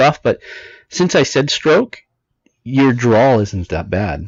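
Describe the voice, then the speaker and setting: Vocal fry from a man with a fairly high pitch, at a fairly slow pace. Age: 40s. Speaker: podcast co-host. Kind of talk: casual chat.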